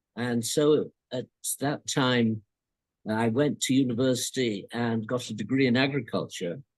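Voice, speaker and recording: In a British accent, a man speaks at a fairly slow pace with a medium pitch and fairly even intonation. The sound is dry and close, with no echo. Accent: older British English. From India, then England from age eleven. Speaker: former colonial agricultural officer. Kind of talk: interview.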